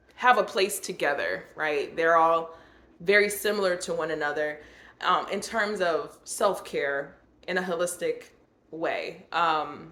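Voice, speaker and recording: A woman's medium-pitched voice with a bright, sharp tone, ordinary pitch variation and a fairly slow pace, in audible room echo. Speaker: YouTuber sharing personal reflections. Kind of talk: personal vlog monologue. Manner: halting, with many fillers.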